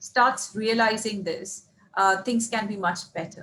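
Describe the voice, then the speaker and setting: A woman's fairly high voice, an unremarkable speaking voice, at a fairly slow pace with ordinary pitch variation. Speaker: interviewer, podcast host. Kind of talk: interview question.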